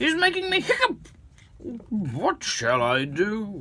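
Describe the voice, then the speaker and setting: Using a put-on character voice, a man speaks at a high pitch. His pace is very slow. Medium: read story.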